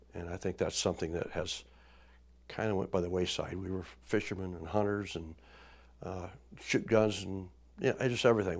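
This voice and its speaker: In a very clean recording with a silent background, a man with a very deep, low pitch uses ordinary pitch variation. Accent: Midwestern US. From Indiana. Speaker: oral history storyteller. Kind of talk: oral history interview. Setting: studio. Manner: halting.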